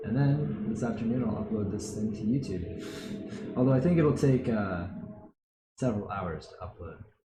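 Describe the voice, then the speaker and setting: Mumbling at a moderate pace, a man of medium pitch uses lively intonation while music plays in the background and room echo is audible. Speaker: art instructor. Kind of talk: live-streamed drawing workshop. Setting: live stream. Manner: soft-spoken.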